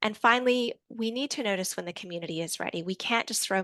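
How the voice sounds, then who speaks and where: With an Australian accent, a woman talks at a very fast pace in a bright, sharp tone. Her pitch varies in an ordinary way over a quiet background. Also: dry, close sound with no echo. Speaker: researcher presenting a report. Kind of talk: presentation. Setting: online event.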